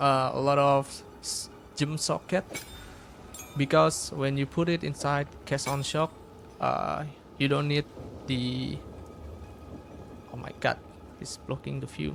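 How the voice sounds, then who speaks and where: Speaking with a non-native accent, a man goes at a fairly slow pace with long, frequent pauses over noticeable background noise. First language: not English. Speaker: gaming content creator. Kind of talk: tutorial. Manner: halting, many fillers.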